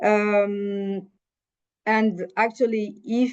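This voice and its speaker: A woman speaks in a French accent. Her pitch is medium. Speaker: panelist. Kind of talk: panel discussion presentation. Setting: webinar. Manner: halting, many fillers.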